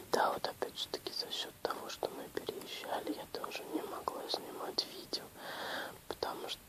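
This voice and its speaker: A woman is whispering at a moderate pace. Noticeable background noise runs underneath. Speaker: ASMR video creator. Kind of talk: casual talk to camera. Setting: home, lying in bed. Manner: quiet, soft-spoken.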